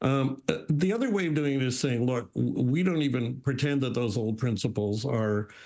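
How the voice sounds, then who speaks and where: Here a man talks at a moderate pace. His pitch is medium. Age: 60s. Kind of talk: panel discussion. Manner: halting.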